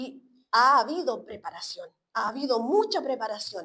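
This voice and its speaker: Her pitch is high, and this woman makes very wide pitch swings. She speaks at a fairly slow pace. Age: 70s. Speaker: preacher. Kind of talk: sermon. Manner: halting, many fillers and repetitions.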